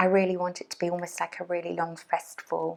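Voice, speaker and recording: A woman is mumbling. Her pitch is fairly low. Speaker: crochet designer and workshop teacher. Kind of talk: casual podcast talk to camera. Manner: hesitant, mumbling.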